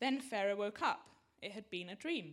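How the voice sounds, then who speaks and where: A woman with a plain, everyday voice, a fairly high pitch, ordinary pitch variation and a moderate pace. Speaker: congregation member reading scripture. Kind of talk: reading aloud.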